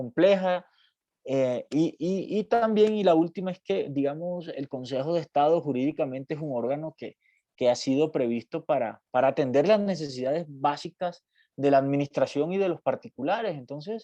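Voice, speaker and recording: Heard in a dry, close sound with no echo, a man with a fairly high pitch and a dark, mellow tone talks at a moderate pace with ordinary pitch variation. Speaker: university law professor. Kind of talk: lecture. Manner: halting, many fillers.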